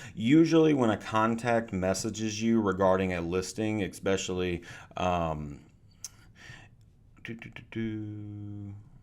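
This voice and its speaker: A man's fairly low voice at a fairly slow pace, with ordinary pitch variation, big swings in loudness, long, frequent pauses and audible room echo. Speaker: software trainer. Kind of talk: webinar tutorial.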